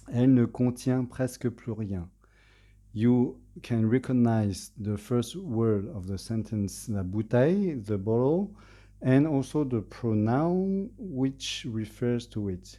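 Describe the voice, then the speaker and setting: Against a quiet background, a man with a French accent speaks at a very slow pace in a dark, mellow, medium-pitched voice with lively intonation. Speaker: language learner giving a presentation. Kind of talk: presentation. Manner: halting, many fillers.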